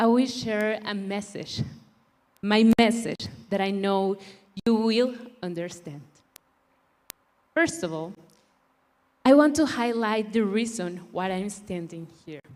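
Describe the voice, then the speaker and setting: With a Spanish accent, the speaker goes at a very slow pace with long, frequent pauses. The intonation is lively and the loudness swings widely. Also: woman, medium pitch for a woman. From Mexico. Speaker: beauty pageant contestant. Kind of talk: prepared speech.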